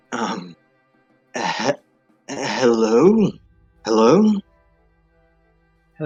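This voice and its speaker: Music plays behind a man doing a put-on character voice that is raspy and medium in pitch. His intonation is lively throughout. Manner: sheepish, nervous.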